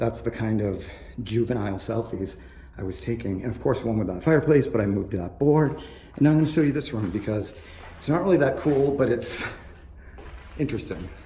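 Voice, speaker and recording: Over noticeable background noise and audible room echo, a medium-pitched man speaks at a fairly quick pace with lively intonation and long, frequent pauses. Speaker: urban explorer vlogger. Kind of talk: exploration vlog commentary. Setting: outdoors and abandoned building. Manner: drowsy, drunk-sounding.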